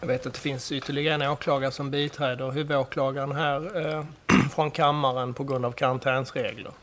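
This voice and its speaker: Over noticeable background noise, a man talks at a very fast pace in a fairly high pitch. His intonation stays monotone and flat. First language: Swedish (speaking Persian). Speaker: judge. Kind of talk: formal court proceedings. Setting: courtroom. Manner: formal.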